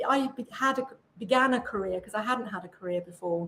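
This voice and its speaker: A woman with an English accent, fairly high in pitch, with lively intonation. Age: 60s. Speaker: author and podcaster. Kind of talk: interview conversation.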